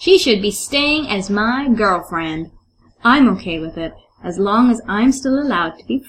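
Someone reads aloud plainly. The pitch moves in a lively way.

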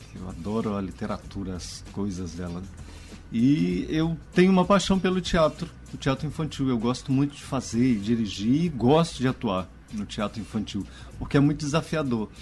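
Over music in the background, a man with medium pitch speaks at a moderate pace with very wide pitch swings. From Goiás, Brazil. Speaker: stage actor and director. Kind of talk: radio interview.

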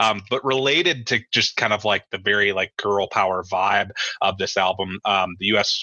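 With an American accent and an unremarkable speaking voice, a man speaks at a moderate pace in a fairly low pitch with fairly even intonation. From US Midwest. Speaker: podcast co-host. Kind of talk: casual chat.

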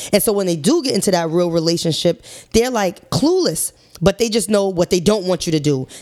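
At a fairly quick pace, a woman speaks in an animated tone with a medium pitch and ordinary pitch variation. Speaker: podcast co-host. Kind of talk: casual chat. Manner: loud.

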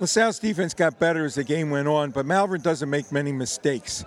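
Talking at a fairly quick pace, a man uses an unremarkable speaking voice, with a fairly high pitch and ordinary pitch variation. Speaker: football historian guest. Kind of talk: radio interview during broadcast.

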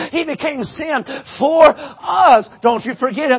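With noticeable background noise behind him, a man speaks fairly slowly at an extremely high pitch with ordinary pitch variation. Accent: American. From West Virginia. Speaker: preacher. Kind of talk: sermon. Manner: animated.

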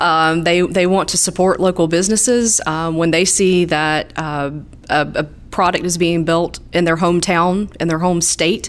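At a moderate pace, the speaker uses a Southern US accent, and the pitch moves up and down in an ordinary way. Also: woman. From southeast Georgia. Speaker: utility market specialist. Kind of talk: interview.

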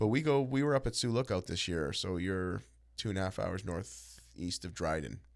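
A man's very deep, low voice with vocal fry swings very widely in pitch at a moderate pace, on a very clean recording with a silent background. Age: 40s. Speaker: jiu-jitsu instructor and entrepreneur. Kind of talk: casual interview. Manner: energetic.

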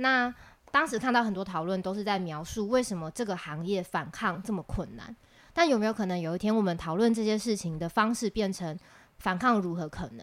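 Lively intonation marks a woman's medium-pitched voice at a fairly quick pace. The recording is very clean, with a silent background. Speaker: podcast co-host, union secretary. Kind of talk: casual chat.

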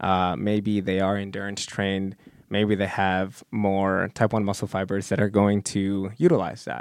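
A man speaks at a fairly low pitch and fairly slow pace in a plain, everyday voice. His intonation is fairly even. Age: 20s. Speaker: PhD student in exercise physiology. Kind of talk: casual chat.

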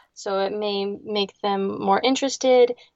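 In a Midwestern American accent, a woman talks at a fairly slow pace with a medium pitch and ordinary pitch variation. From Ohio, Lake Erie area. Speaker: marine biologist. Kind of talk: interview conversation.

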